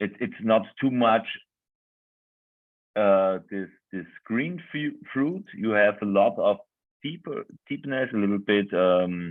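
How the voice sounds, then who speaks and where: Speaking with a non-native accent, a man with a fairly low pitch uses lively intonation at a very slow pace, with long, frequent pauses. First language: German. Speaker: winemaker. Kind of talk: virtual wine tasting talk. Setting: video call. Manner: halting, searching for words.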